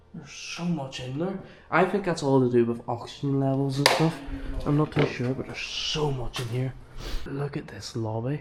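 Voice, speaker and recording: Noticeable background noise sits behind a man who speaks at a moderate pace with a fairly high pitch and ordinary pitch variation. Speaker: urban explorer vlogger. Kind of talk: walkthrough vlog commentary. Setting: indoors in abandoned hospital. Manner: animated.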